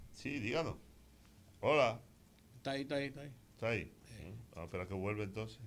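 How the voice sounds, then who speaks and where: A man speaks at a very fast pace, broken by long, frequent pauses. His pitch shows ordinary variation. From Dominican Republic. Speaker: radio host. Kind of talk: call-in talk radio. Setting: studio. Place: studio. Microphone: studio mic.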